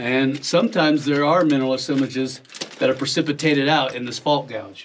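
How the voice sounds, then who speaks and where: A man moves at a fairly quick pace while light background noise plays underneath. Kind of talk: explanatory commentary. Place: tunnel cave.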